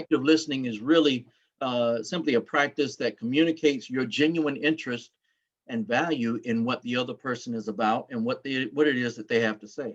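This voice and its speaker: The voice has an American accent and ordinary pitch variation. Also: man, medium pitch for a man. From US South, North Carolina. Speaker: workshop presenter. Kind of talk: presentation. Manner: frequent fillers and self-corrections.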